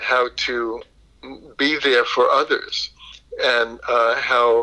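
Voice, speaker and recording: This man speaks with a New York accent. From Brooklyn, New York. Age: 70s. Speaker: yoga instructor and counselor, blind Air Force veteran. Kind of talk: interview conversation.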